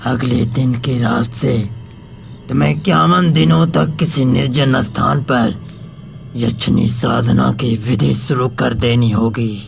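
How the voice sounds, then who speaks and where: In a cartoonish character voice, a man speaks fairly slowly at a medium pitch with lively intonation and very even loudness, while clear background noise runs behind him. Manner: commanding, ominous.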